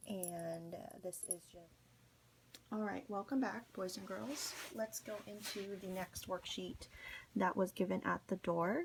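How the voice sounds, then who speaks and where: A woman whispers at a very slow pace. Her voice is somewhat breathy. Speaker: school teacher. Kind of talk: recorded classroom instructions. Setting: at home. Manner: whispering.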